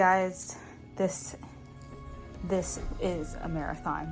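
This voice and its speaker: A woman talks at a very slow pace while music plays in the background. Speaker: knitting crafter. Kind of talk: craft tutorial talk.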